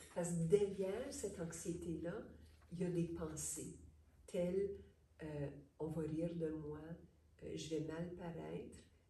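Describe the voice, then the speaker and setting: Speaking at a very slow pace with long, frequent pauses, a woman keeps a fairly low pitch and fairly even intonation amid audible room echo and noticeable background noise. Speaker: psychologist / therapist. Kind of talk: interview.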